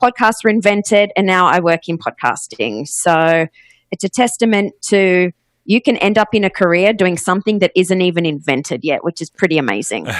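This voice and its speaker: With an Australian accent, a woman of medium pitch speaks at a moderate pace with lively intonation, in a very clean recording with a silent background and a dry, close sound with no echo. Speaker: podcast booking agent, former radio host. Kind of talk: interview.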